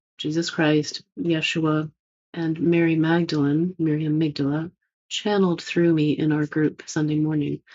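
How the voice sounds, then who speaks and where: Delivery comes at a fairly slow pace. The intonation is fairly even. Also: woman. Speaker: spiritual teacher, channeler. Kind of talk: spiritual talk, monologue.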